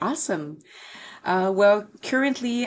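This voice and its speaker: A woman with a Quebec accent talks at a moderate pace. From Quebec City, Canada. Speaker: sales and marketing executive. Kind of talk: podcast interview. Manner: hesitant with many fillers.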